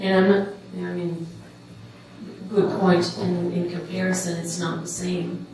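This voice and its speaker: A woman's fairly low, monotone and flat voice at a moderate pace, with long, frequent pauses, big swings in loudness, audible room echo and noticeable background noise. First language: French. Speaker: anti-racism forum panelist. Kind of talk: panel discussion. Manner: halting, many fillers and repetitions.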